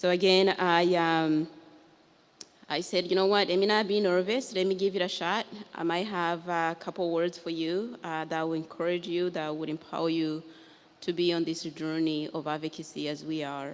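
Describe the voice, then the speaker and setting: Woman in a Rwandan accent, fairly low in pitch, with fairly even intonation at a moderate pace. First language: Kinyarwanda. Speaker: author and genocide survivor. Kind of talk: panel talk. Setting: library event with live audience.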